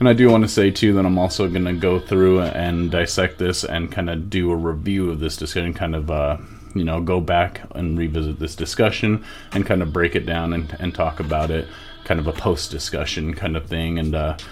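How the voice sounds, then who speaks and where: A man speaks at a very deep, low pitch and a fairly quick pace, with fairly even intonation. Noticeable background noise is present. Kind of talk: video intro monologue; casual discussion. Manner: loud. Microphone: mic too close, bad audio balance.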